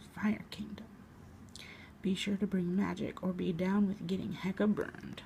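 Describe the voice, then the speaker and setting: A soft-spoken woman talks at a moderate pace in a dark, mellow, gentle tone, with vocal fry. Her intonation is monotone and flat, broken by long, frequent pauses. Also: medium pitch for a woman. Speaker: ASMR artist. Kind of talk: ASMR comic book reading. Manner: soft-spoken, quiet, gentle.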